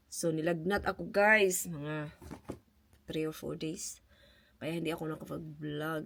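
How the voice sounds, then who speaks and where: A woman's very deep, low voice keeps a moderate pace. Her intonation is fairly even. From Philippines. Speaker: vlogger. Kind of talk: casual vlog talk. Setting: at home.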